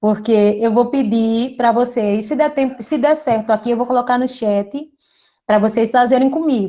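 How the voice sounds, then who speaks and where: A woman speaks at a moderate pace with a fairly high pitch. Her tone is dark and mellow, with ordinary pitch variation. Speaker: teacher. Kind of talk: lecture.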